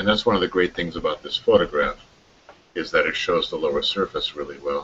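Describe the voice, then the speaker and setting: Light background noise sits behind a man speaking. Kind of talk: expert discussion in online hangout. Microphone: video call.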